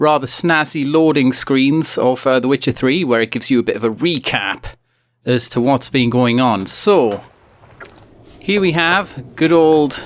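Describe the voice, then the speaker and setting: Speech in a British accent comes at a fairly slow pace. Loudness stays very even, and pitch variation is ordinary. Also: man, fairly high pitch for a man. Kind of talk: video game commentary. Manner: casual, humorous.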